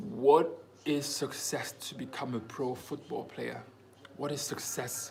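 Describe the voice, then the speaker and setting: A man at a medium pitch and a fairly slow pace, with noticeable background noise and audible room echo. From Germany, Congolese parents. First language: German and French. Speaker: footballer vlogger. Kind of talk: casual Q&A vlog. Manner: casual, animated.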